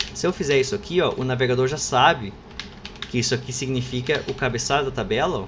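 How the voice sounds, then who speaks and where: Audible room echo and noticeable background noise fill the recording. The speech moves at a fairly quick pace. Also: man. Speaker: university professor. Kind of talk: lecture. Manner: fast; casual, informal.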